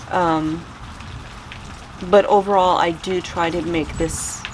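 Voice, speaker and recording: A woman's fairly low, monotone, flat voice at a very slow pace, with noticeable background noise and audible room echo. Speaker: homesteading vlogger. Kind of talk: casual chat. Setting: greenhouse during a storm. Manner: calm and even-keeled.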